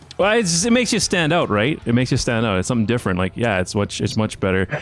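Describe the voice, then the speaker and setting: Through noticeable background noise, a man with a Canadian accent speaks at a very fast pace in medium pitch, his pitch swinging very widely while his loudness stays very even. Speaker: webcast host. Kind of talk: casual interview chat.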